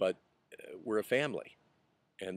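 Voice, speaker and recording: Recorded dry and close with no echo, a man speaks quietly. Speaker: pastor. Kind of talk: video message to supporters. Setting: outdoors at a rural retreat center. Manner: quiet, voice kept down.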